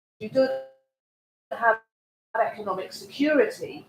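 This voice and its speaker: A loud, high-pitched woman's voice at a moderate pace. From Scotland, Glasgow. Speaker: audience member. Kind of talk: audience question. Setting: panel event with audience, no mic. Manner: loud, projecting.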